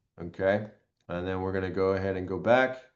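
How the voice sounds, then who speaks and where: A man speaks at a fairly low pitch. The background is quiet. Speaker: real estate trainer; presenter. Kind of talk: tutorial. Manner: hesitant with fillers.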